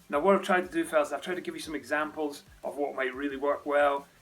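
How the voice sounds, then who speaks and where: With a Scottish accent, a man speaks in a fairly high pitch with fairly even intonation. Noticeable background noise is present. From Scotland. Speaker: dating coach, lifestyle vlogger. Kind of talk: advice monologue to camera. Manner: casual, conversational.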